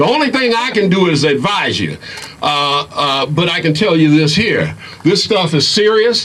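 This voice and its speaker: There is noticeable background noise as a man speaks at a moderate pace in a high pitch. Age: 60s. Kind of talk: rally speech. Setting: outdoor rally in a park.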